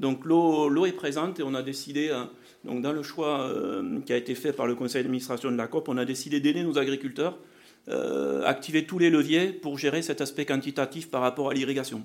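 A man speaks at a moderate pace with fairly even intonation. His pitch is fairly high for a man. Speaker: agricultural R&D manager. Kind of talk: conference presentation.

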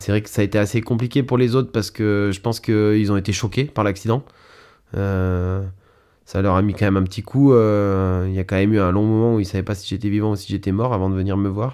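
At a fairly quick pace, a man with a dark, mellow tone and fairly low pitch speaks with fairly even intonation in a very clean recording with a silent background. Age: 30s. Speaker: mountain guide and alpinist. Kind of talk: personal account interview. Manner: halting, many fillers.

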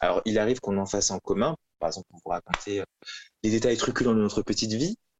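This man's pitch sits fairly low, with fairly even intonation. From France, Toulouse. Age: 20s. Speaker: law graduate, co-living resident. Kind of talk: podcast interview. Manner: halting.

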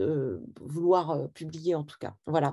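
Against a quiet background, a woman speaks with a fairly low pitch and a dark, mellow tone. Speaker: book publisher. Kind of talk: literary interview. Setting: video call. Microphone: unstable connection, froze.

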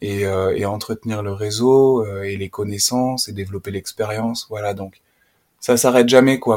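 Speaking at a fairly slow pace, a man with a fairly low pitch keeps a monotone, flat intonation. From France, Auvergne (Puy-de-Dôme). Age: 30s. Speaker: nature educator. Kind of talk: casual interview conversation. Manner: hesitant, many fillers.

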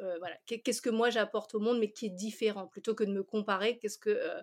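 Her delivery is fairly quick and flat, with monotone intonation. This woman's voice is fairly high. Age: 40s. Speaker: confidence coach. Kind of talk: casual interview.

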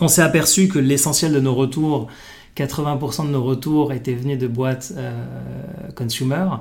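Fairly even intonation is heard through audible room echo and noticeable background noise. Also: man. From Morocco. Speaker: venture capital investor. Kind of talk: interview. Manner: halting, many fillers.

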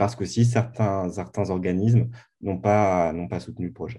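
Dark and mellow in tone, a man's fairly low voice moves with ordinary pitch variation. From Corsica, Bastia. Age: 30s. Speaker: documentary filmmaker. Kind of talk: podcast interview. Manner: halting, many repetitions.

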